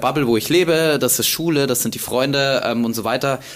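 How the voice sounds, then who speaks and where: A man with a slight Bavarian accent speaks at a moderate pace with ordinary pitch variation. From Bavaria, Germany. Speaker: content creator. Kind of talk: casual interview. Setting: university archive room.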